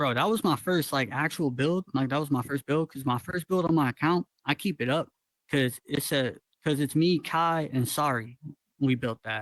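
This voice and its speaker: An ordinary speaking voice, a man's, sits fairly high in pitch and carries an American accent at a fairly quick pace with ordinary pitch variation. The background is quiet, and the sound is dry and close with no echo. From Northwest Georgia, US. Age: 20s. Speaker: VR world builder and musician. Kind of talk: casual chat.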